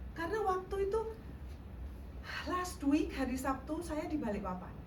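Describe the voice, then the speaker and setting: Fairly slow speech from a woman, amid audible room echo and noticeable background noise. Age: 60s. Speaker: guest speaker at youth church service. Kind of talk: sermon. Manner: interactive, asks audience questions.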